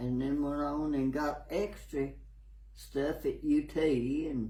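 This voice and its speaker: Audible room echo surrounds a man speaking in a Tennessee accent. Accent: Southern US (Tennessee). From US South, Tennessee. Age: 80s+. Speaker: elderly local resident. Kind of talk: interview. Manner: halting.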